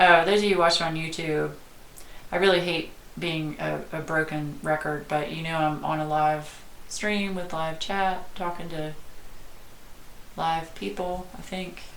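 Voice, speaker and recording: A woman talks at a fairly slow pace in a Southern US accent, with long, frequent pauses. Her pitch is fairly low and her intonation fairly even, with audible room echo. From US South. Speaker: art youtuber. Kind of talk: live stream chat. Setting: home, live stream. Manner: casual, hesitant with fillers.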